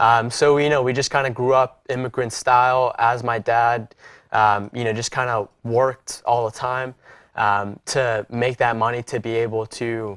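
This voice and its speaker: In a very clean recording with a silent background, a man with an American accent speaks at a moderate pace, medium in pitch and monotone, with flat intonation. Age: 20s. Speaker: podcast host. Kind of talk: interview. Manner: many fillers, casual.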